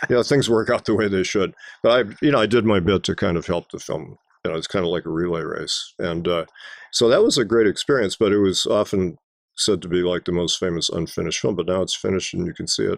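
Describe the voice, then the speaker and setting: Speech comes at a very fast pace with ordinary pitch variation. The recording is very clean with a silent background, dry and close with no echo. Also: man, fairly low pitch for a man. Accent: American. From Wisconsin, US Midwest. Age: 70s. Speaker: film professor. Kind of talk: interview. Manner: hesitant fillers.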